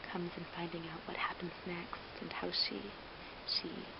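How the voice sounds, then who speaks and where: At a moderate pace, the voice is whispering, with noticeable background noise around it. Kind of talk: ASMR whispered ramble, casual talk to camera. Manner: whispered, soft-spoken.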